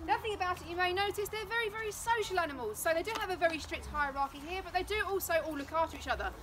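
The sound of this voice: A woman talks at a very fast pace in an extremely high pitch, with ordinary pitch variation.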